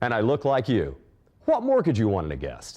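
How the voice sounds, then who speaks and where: A man with an American accent speaks with vocal fry and a dark, mellow tone. His pitch swings very widely over a quiet background. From Ozarks, US. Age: 50s. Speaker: contest entrant, food stylist and jingle writer. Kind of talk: scripted video pitch. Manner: playful.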